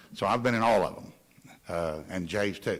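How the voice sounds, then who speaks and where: Audible room echo surrounds a man speaking at a fairly quick pace. His intonation is lively, and he has a Southern US accent. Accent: Southern US (Georgia). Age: 60s. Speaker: local waste hauling subcontractor owner. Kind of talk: council meeting discussion.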